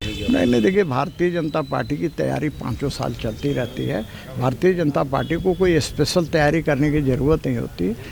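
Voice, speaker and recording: This man's voice is fairly high-pitched and has vocal fry. His intonation is lively. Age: 60s. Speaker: politician. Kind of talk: press interview.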